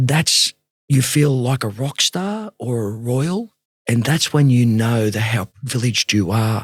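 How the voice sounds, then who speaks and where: In a dry, close sound with no echo, a man speaks with an Australian accent. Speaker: rugby league coach and mentor. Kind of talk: interview conversation. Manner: fast; animated.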